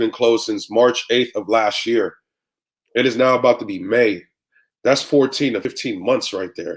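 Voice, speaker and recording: A man with an American accent and a plain, everyday voice, medium in pitch, with ordinary pitch variation at a moderate pace. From San Francisco Bay Area, California. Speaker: radio and club DJ. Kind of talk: interview answer.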